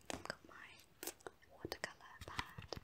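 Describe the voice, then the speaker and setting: The speaker, a woman, talks in a whisper. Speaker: ASMR YouTuber. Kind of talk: whispered ASMR talk to camera. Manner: whispered, soft-spoken, casual. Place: home room.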